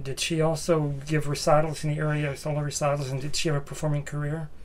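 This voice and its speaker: A man's fairly high, monotone voice with flat intonation over noticeable background noise. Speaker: music librarian interviewer. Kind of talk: oral history interview. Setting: library. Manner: halting.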